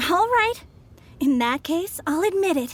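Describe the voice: At a fairly slow pace, a woman uses a put-on character voice pitched extremely high, with big pitch swings.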